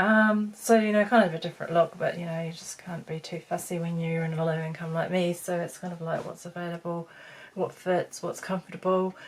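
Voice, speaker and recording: Talking at a fairly quick clip, a woman with a fairly low pitch keeps a flat, monotone intonation while her loudness swings widely. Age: 50s. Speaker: beauty vlogger. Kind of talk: tutorial. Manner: halting; casual.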